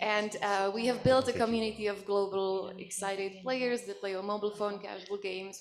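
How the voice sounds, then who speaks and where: In a Czech accent, a woman at a medium pitch talks at a moderate pace, with noticeable background noise and audible room echo. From Czech Republic. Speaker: gaming company CEO. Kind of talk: conference panel. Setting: stage with audience.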